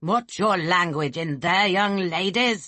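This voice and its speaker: A growling, put-on character voice at middle pitch. The delivery is fairly slow. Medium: read story. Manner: jovial, leering.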